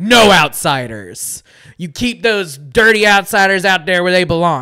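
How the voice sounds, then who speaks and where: At a moderate pace, a gruff put-on character voice rings out raised and projected. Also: man, high pitch for a man. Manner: gruff, xenophobic.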